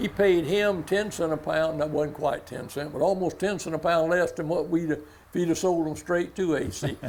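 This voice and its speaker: In a coastal Georgia accent, a man speaks with a high pitch and fairly even intonation. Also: moderate pace. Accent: Southern US, coastal Georgia. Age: 80s+. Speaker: commercial fisherman. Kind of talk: casual storytelling. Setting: stage with audience.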